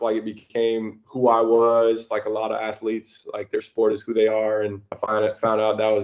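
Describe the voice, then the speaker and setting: With an American accent, a man talks at a moderate pace in a flat monotone, hardly pausing, against a quiet background. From United States, small town. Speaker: professional basketball player; guest. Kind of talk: casual interview chat. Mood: calm, reflective. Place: home room. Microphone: video call.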